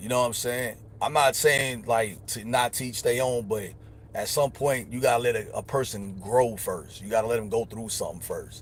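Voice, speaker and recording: At a moderate pace and medium pitch, a man speaks with fairly even intonation and a somewhat breathy sound. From upstate New York, Elmira. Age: 40s. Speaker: livestreamer. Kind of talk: casual livestream monologue.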